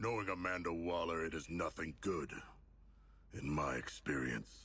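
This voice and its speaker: A man puts on a character voice that is raspy and very deep and low in pitch. He speaks at a moderate pace. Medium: video game. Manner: polite, formal, deadpan.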